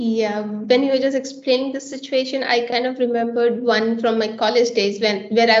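In a monotone, flat delivery, a woman with a fairly high pitch talks at a fairly quick pace amid audible room echo and noticeable background noise. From India. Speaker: software engineer. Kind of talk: panel discussion.

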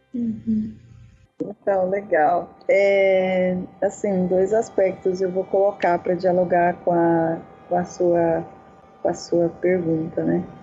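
A woman's medium-pitched voice at a very slow pace, with very even loudness, ordinary pitch variation and noticeable background noise. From Brazil, Dourados, Mato Grosso do Sul. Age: 40s. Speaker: university professor and activist. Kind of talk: casual chat.

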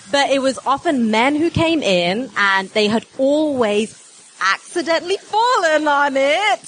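With an English accent, a woman speaks at a fairly slow pace in a high voice. Her pitch swings very widely, and there is noticeable background noise. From England. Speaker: doctor and journalist. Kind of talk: live comedy quiz show. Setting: stage with live audience.

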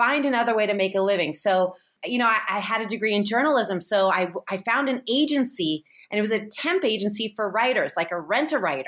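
A woman with an American accent speaks at a fairly quick pace in an ordinary speaking voice, her pitch fairly high, her intonation lively and her loudness very even. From San Francisco, US. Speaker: TV host and writer. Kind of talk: casual chat.

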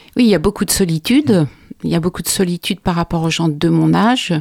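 A woman speaks at a moderate pace in a normal speaking voice with a fairly low pitch and ordinary pitch variation. The sound is dry and close with no echo. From France, from age 7 (born in Belgium). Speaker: concert pianist and piano teacher. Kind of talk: casual chat.

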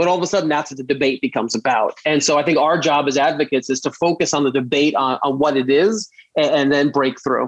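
A man with a New York accent and a fairly high pitch, talking at a very fast pace with hardly any pauses and very even loudness. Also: ordinary pitch variation. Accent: New York American. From US, Brooklyn, New York. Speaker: gun safety lawyer and advocate. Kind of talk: interview.

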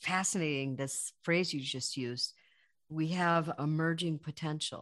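With a quiet background, a woman speaks fairly slowly in an ordinary speaking voice, her pitch fairly low with ordinary variation. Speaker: podcast interviewer. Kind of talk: interview.

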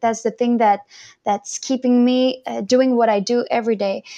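Speaking with a French accent, a woman has a fairly high pitch and a dark, mellow tone. Her intonation is monotone and flat. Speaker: singer and violinist. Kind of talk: interview.

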